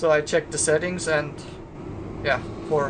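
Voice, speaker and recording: A man speaks in a fairly high voice. Noticeable background noise runs underneath. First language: not English. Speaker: gaming youtuber. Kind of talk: gameplay commentary. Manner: relaxed.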